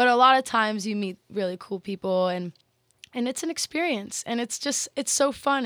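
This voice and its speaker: With an American accent, a woman speaks at a fairly quick pace and ordinary pitch variation in a dry, close sound with no echo. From Texas. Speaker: model and university student. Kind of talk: casual chat.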